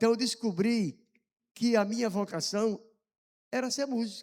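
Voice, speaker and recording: A man talks at a fairly slow pace. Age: 60s. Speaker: missionary and musician giving testimony. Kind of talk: testimony. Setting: church service.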